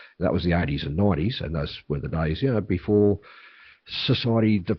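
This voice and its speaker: Speaking very fast, this man has an Australian accent. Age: 60s. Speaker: political candidate. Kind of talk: interview. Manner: halting, with repetitions.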